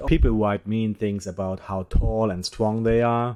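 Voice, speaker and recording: This man speaks at a fairly slow pace with a non-native accent, his tone dark and mellow. The recording is very clean, with a silent background. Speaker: podcast host. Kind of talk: satirical news monologue.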